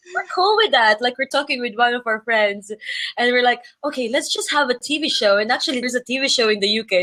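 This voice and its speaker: With a Filipino accent, a woman talks at a very fast pace in a high pitch with ordinary pitch variation. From Philippines. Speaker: travel blogger. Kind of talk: interview. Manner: halting.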